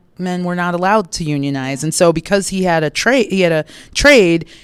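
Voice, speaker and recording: An American accent from a woman with a plain, everyday voice, medium in pitch, at a moderate pace with ordinary pitch variation. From Chicago suburbs. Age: 50s. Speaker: public sector executive. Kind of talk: casual interview chat.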